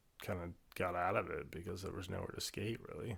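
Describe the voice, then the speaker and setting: Very deep, low male pitch, soft-spoken, on a very clean recording with a silent background. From US West Coast. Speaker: snowboard photographer. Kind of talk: casual chat.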